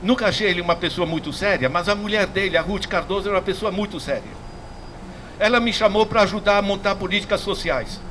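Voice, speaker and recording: A man with a high pitch speaks at a very fast pace in fairly even intonation over noticeable background noise. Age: 70s. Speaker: economics professor. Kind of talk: public lecture. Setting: public class before audience. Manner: casual, repetitive with hesitations.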